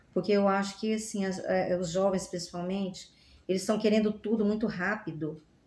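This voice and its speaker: Somewhat breathy and dark, mellow in tone, a woman speaks at a medium pitch. Her pace is moderate and her intonation fairly even. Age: 60s. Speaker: language graduate. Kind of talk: podcast interview.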